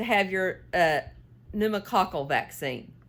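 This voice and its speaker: The woman speaks with an American accent. Her pace is fairly slow. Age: 60s. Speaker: knitting and cooking vlogger. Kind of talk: casual chat while knitting. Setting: home, filming on a tripod. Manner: rambling, halting with fillers.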